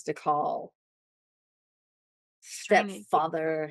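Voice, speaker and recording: With long, frequent pauses, a woman speaks at a fairly low pitch and ordinary pitch variation. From Tennessee, United States.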